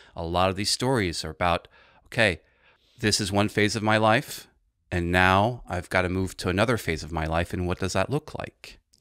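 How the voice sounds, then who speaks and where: Very deep and low, a man's voice carries a bright, sharp tone with ordinary pitch variation at a moderate pace. The sound is dry with no echo, over a quiet background. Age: 40s. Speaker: art historian and literature teacher. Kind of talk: casual chat. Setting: studio. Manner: articulate. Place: studio. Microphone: studio mic.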